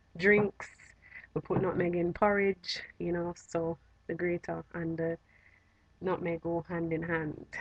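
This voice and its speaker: A woman's fairly low voice in a Jamaican accent, flat and monotone, at a fairly slow pace. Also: dry, close sound with no echo. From Jamaica, Trelawny (rural). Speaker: vlogger. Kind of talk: casual vlog talk.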